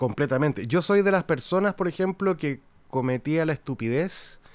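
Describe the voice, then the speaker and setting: At a moderate pace, a man speaks in an unremarkable speaking voice, fairly high in pitch and with lively intonation. The recording is very clean, with a silent background. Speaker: podcast host and musician. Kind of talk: casual chat.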